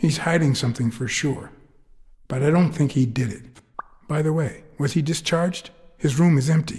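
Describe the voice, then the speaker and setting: A man's put-on character voice with long, frequent pauses. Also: fairly high pitch for a man, moderate pace. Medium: video game. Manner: low, terse, dry.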